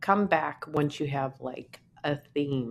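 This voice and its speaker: A woman's very deep, low voice at a very slow pace. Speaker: artist. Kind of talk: casual vlog talk. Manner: casual, conversational.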